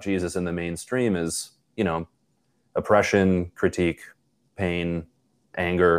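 A man talks at a fairly slow pace. He speaks in a Western New York accent. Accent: Western New York (Inland North) American. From Buffalo, New York. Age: 30s. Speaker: youth ministry director. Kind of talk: casual interview conversation. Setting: remote call.

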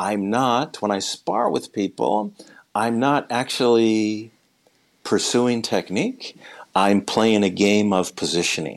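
A man with an American accent, a fairly low pitch and a very slow pace. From US Midwest. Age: 60s. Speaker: martial arts instructor. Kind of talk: interview.

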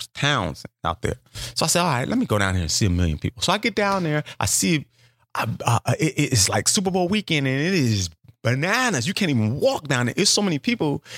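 A man's very fast, animated delivery with vocal fry and very wide pitch swings, in a dry, close sound with no echo on a very clean recording with a silent background. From South Central Los Angeles. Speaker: stand-up comedian. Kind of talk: interview storytelling.

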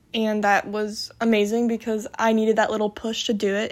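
This woman's speech keeps a moderate pace. It is a very clean recording with a silent background. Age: 20s. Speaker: podcast host and college student. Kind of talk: casual solo monologue. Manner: animated.

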